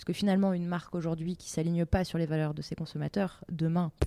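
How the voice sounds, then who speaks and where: Very fast and monotone, a woman talks in a fairly low, dark, mellow voice with flat intonation and big swings in loudness. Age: 30s. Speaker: entrepreneur. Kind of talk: interview.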